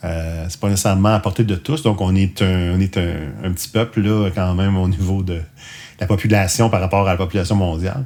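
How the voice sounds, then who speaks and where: A man speaks in a Quebec accent with a very deep, low pitch. His tone is dark and mellow, and his intonation is fairly even. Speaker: podcast host. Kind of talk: casual podcast outro monologue. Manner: hesitant, many fillers.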